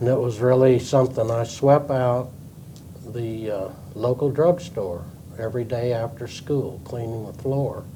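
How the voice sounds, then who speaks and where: Noticeable background noise sits behind a man talking at a fairly slow pace, medium in pitch with ordinary pitch variation. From New Mexico (Fort Sumner, east central). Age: 80s+. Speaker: retired company co-founder and former CEO. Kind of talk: interview.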